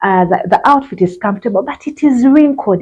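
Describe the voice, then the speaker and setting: A woman's normal speaking voice, fairly quick in pace, with lively intonation. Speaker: fashion vlogger. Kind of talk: tutorial. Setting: outdoors.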